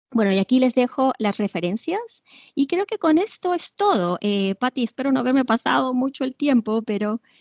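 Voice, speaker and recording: A woman speaks at a high pitch and moderate pace, with very wide pitch swings. The sound is dry and close with no echo, over a quiet background. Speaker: literature professor giving webinar lecture. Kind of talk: lecture. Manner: hesitant, many fillers.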